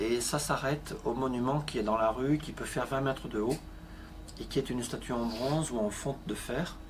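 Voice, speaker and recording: This man talks at a moderate pace in a medium pitch, with ordinary variation in his pitch. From southern France, Avignon. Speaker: art metal restorer, craftsman. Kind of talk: interview. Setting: workshop.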